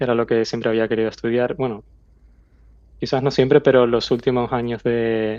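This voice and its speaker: A man speaks with a Canarian accent. His intonation stays flat and monotone. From Canary Islands, Tenerife. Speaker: aerospace engineer. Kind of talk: interview.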